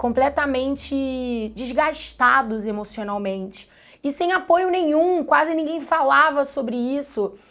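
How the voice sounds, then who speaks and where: Spoken with a Carioca accent, the voice moves at a fairly slow pace with lively intonation. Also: woman, high pitch for a woman. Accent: carioca Brazilian Portuguese. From Brazil, Rio de Janeiro suburbs. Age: 30s. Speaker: biology teacher. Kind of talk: documentary interview testimony.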